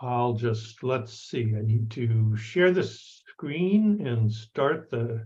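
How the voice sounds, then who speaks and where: A man with a medium-pitched, somewhat breathy voice and ordinary pitch variation speaks at a very slow pace, with audible room echo. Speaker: anthropologist. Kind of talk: lecture. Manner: halting.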